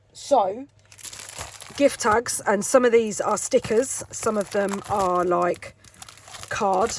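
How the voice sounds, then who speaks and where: A woman with a British accent, fairly high pitch and ordinary pitch variation. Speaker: craft YouTuber. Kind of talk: tutorial.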